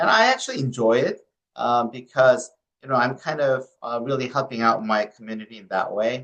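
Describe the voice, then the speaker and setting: With a Korean accent, a man of medium pitch talks at a fairly quick pace, his intonation fairly even but his loudness swinging widely. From South Korea. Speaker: medical oncologist. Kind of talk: interview. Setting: podcast.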